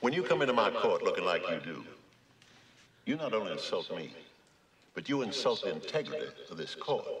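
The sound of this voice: Putting on a character voice, a man talks at a fairly quick pace in a fairly low, fairly bright voice with vocal fry, big pitch swings and long, frequent pauses.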